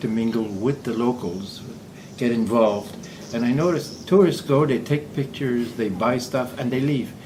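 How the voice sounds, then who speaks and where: A Quebec accent at a moderate pace, with audible room echo and noticeable background noise. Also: man. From Quebec, Montreal. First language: French. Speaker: semi-retired expat. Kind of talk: casual interview.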